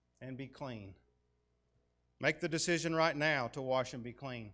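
In a quiet background, a man with a Tennessee accent speaks in a bright, sharp tone. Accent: US Southern (Tennessee). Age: 40s. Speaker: guest preacher. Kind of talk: sermon. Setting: church with congregation. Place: church.

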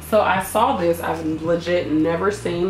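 A woman speaks in a room with audible echo and light background noise. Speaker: food vlogger. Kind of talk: casual vlog chat. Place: kitchen. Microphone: camera far.

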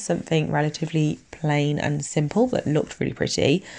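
A woman with an English accent and a very deep, low pitch, with ordinary pitch variation and a quiet background. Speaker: nail technician youtuber. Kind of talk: tutorial voiceover. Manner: casual, hesitant with fillers.

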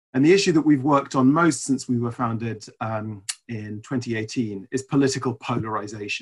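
A man at a fairly quick pace with ordinary pitch variation, quiet background. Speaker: webinar presenter, report author. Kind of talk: presentation talk. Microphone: video call.

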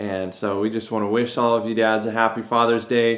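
The speaker keeps a moderate pace over a quiet background. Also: man. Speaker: pastor. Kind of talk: service welcome and prayer. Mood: warm, upbeat greeting. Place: office. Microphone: phone near.

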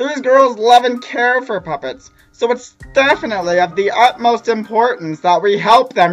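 A put-on character voice moves at a fairly slow pace over faint music in the background. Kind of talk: comic overacting. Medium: fan dub. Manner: melodramatic, scolding.

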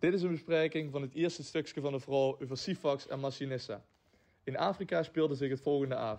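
This man's fairly high voice moves at a fairly quick pace with ordinary pitch variation. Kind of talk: narrated introduction.

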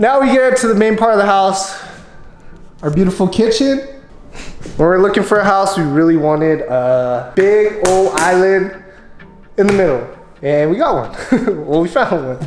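Clear music plays in the background as a man speaks at a high pitch with audible room echo. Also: moderate pace. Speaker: homeowner vlogger. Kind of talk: casual vlog chat. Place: home room. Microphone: phone near.

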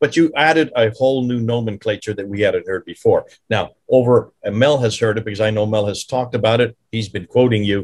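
A somewhat breathy man talking at a fairly quick pace with hardly any pauses, ordinary pitch variation and a quiet background. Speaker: podcast host. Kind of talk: interview discussion. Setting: video call. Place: home room. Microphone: video call.

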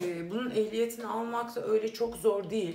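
A woman's voice, slightly mellow in tone

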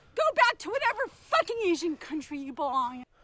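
In a put-on character voice, the speaker talks at a fairly quick pace in an extremely high pitch with very wide pitch swings. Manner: lowered voice.

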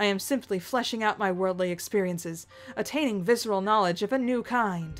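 This is a natural reading voice. Its pitch varies the ordinary amount.

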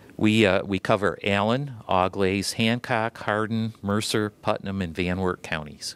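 Fairly slow, fairly low male speech with an Ohio accent, fairly even intonation and a dry sound with no echo. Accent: Midwestern American (Ohio). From Ohio, Toledo. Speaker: land conservancy president, environmental lawyer. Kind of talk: TV interview; interview answer. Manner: hesitant, many fillers. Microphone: handheld.

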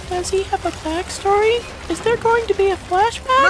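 An extremely high-pitched voice comes at a moderate pace through loud background noise. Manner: polite, calm, deadpan.

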